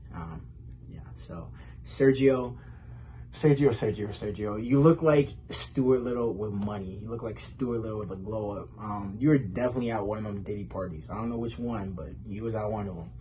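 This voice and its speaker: The tone is dark and mellow, somewhat breathy, with lively intonation and big swings in loudness. The pace is moderate, and room echo can be heard. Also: man, fairly low pitch for a man. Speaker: comedy roast participant. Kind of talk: roast jokes in recorded video. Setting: pre-recorded video. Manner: halting, fumbling words.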